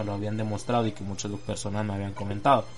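A man speaks, and audible echo from the room surrounds his voice. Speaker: podcaster and aspiring voice-over artist. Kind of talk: casual solo monologue.

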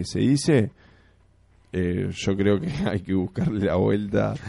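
Speaking very slowly, a man with a fairly low pitch and a dark, mellow tone uses ordinary pitch variation. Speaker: football fan radio co-host. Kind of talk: casual chat.

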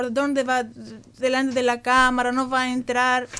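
Against a quiet background, a woman with a Greek accent speaks at a high pitch and a fairly slow pace. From Greece. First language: Greek (speaking Spanish). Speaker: student. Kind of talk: radio interview.

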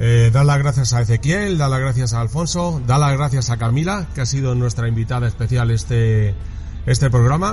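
At a moderate pace, a man of medium pitch speaks with a Spanish accent and ordinary pitch variation, with audible room echo and noticeable background noise. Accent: Peninsular Spanish. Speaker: motorsport podcast co-host. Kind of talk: casual sports analysis. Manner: animated.

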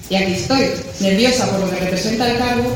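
A woman rattles along very fast, her pitch varying in an ordinary way, while background noise stays noticeable. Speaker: newly proclaimed Dulcinea.

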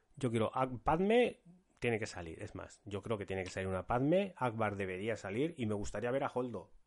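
In a plain, everyday voice, a man talks at a fairly quick pace and medium pitch over a quiet background. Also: lively intonation. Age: 40s. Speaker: podcast host. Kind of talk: casual chat.

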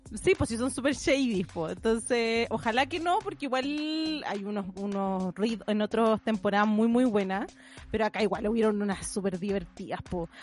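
With a normal speaking voice, a woman talks at a moderate pace, her fairly high pitch showing ordinary variation. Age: 30s. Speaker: podcast co-host. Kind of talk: casual chat.

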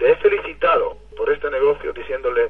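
Flat, monotone intonation at a moderate pace comes through over noticeable background noise. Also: man. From Israel. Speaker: network marketing leader. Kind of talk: motivational testimony. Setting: phone call.

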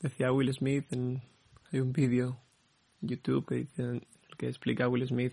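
A man's dark, mellow, medium-pitched voice in monotone, flat intonation at a fairly slow pace with long, frequent pauses. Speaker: podcast host. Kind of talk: personal monologue. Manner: halting, repeating words.

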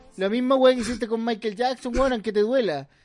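A man with a Chilean accent, extremely high pitch, ordinary pitch variation and a fairly quick pace. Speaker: comedy podcast co-host. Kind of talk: casual comedic banter. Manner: animated.

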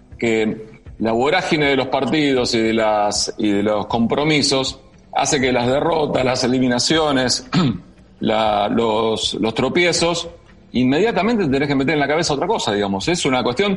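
A man with an Argentine accent speaks at a moderate pace and a medium pitch, with lively intonation. His loudness stays very even, and audible room echo surrounds the voice. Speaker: sports radio host. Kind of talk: interview.

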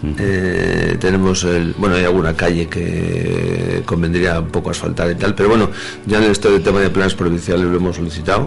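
A man speaks with a very deep, low pitch in a flat monotone. Room echo is audible, and background noise is noticeable. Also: fairly quick pace. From Madrid, Spain. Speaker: village mayor. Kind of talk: radio interview. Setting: radio studio. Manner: hesitant with fillers.

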